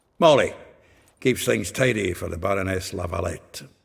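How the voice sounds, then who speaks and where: Putting on a character voice in a Scottish accent, a man sounds raspy, with a fairly low pitch and a moderate pace. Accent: Scottish-flavored dialect. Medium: video game. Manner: gruff, hearty, chatty.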